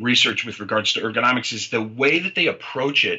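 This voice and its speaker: Noticeable background noise sits under speech delivered with an American accent. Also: man. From US Midwest, Detroit. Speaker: chiropractor. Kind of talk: interview.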